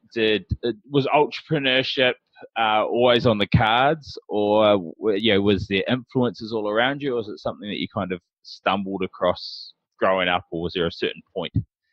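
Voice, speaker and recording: A man with a New Zealand accent at a moderate pace and with ordinary pitch variation. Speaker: podcast host. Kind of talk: interview podcast. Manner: halting, many fillers.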